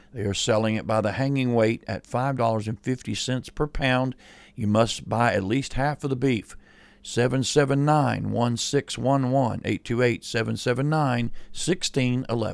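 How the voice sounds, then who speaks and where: On a very clean recording with a silent background, a man speaks at medium pitch and a moderate pace. He has a plain, everyday voice with fairly even intonation. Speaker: pastor. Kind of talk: casual chat.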